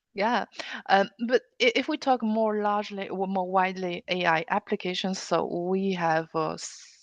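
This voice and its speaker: With a Chinese accent, a woman speaks at a moderate pace and medium pitch. Her pitch variation is ordinary, and the sound is dry and close with no echo. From China. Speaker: automotive AI compliance expert. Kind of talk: interview. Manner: halting, many fillers.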